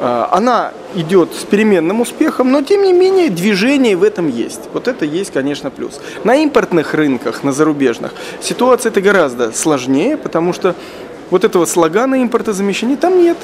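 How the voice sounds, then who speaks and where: There is light background noise. Over it, a man with a high pitch speaks at a moderate pace. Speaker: interviewee. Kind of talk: interview answer. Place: hall. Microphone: handheld.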